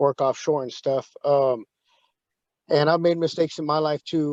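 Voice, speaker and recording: A man with an American accent speaks at a moderate pace and fairly high pitch with fairly even intonation. The sound is dry and close with no echo, over a quiet background. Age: 30s. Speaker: plumbing license applicant. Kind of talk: plea before a licensing board. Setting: video conference. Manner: halting.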